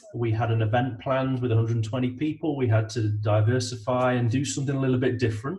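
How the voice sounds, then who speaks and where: The speaker has an East Midlands accent and a fairly even intonation. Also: man. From English East Midlands, between Nottingham and Derby. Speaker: IT business consultant. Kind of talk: interview. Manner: hesitant, many fillers and repetitions.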